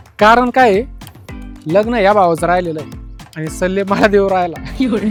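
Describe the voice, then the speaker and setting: Over music in the background, a man speaks with a high pitch and ordinary pitch variation. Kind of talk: comedy sketch host narration.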